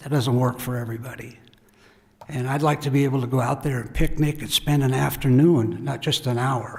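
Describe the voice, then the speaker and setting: Noticeable background noise sits behind a man talking fairly quickly in a monotone, flat intonation. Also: medium pitch for a man. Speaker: landowner applicant. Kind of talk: public testimony.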